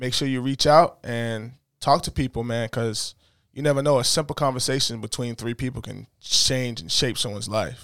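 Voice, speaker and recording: An American-accented man with an unremarkable speaking voice talks at medium pitch and a moderate pace. His intonation is fairly even, and the recording is very clean with a silent background. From US, inner-city neighborhood. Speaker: podcast host. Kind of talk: casual chat.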